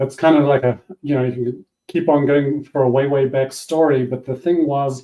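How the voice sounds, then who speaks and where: With a New Zealand accent, a man speaks at a moderate pace in a fairly high pitch with fairly even intonation. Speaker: business coach and former yacht racer. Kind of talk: interview.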